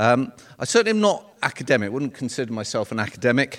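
In a southern English accent, a man talks at a very fast pace with lively intonation. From North London, England. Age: 60s. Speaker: retired solicitor. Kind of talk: personal testimony talk. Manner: halting.

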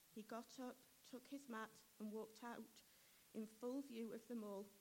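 With monotone, flat intonation, the speaker sounds somewhat breathy. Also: woman. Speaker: scripture reader. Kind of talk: reading aloud. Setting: church.

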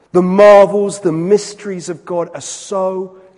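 A warm tone comes through over noticeable background noise. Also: man. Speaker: preacher. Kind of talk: sermon. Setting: church. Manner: building rhythmic repetition, solemn and emphatic; warm, pastoral, conversational.

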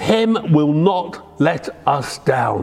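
A man speaks with ordinary pitch variation. Background noise is noticeable. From England, Devon. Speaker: preacher. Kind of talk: sermon.

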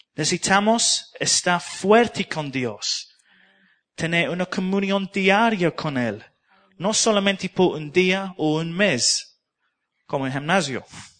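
Lively intonation carries a man's high-pitched voice with a non-native accent. He speaks at a very slow pace. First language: English (speaking Spanish). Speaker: preacher. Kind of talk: sermon. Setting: church. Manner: halting.

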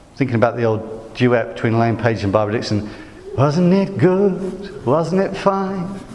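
Amid noticeable background noise and audible room echo, a man with a West Midlands accent speaks at a moderate pace and medium pitch, his voice making very wide pitch swings. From West Midlands, England. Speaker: preacher. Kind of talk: sermon.

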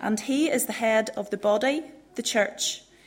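A woman speaks in a normal speaking voice, pitched fairly high. Her pace is fairly slow, with ordinary pitch variation. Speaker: scripture reader. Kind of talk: reading aloud.

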